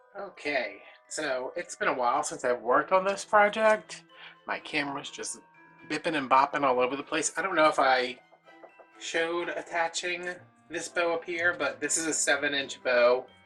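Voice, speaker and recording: Over background music, a man talks in a fairly high voice. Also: ordinary pitch variation, moderate pace. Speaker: DIY wreath maker. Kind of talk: casual tutorial talk to camera. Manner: chatty, rambling.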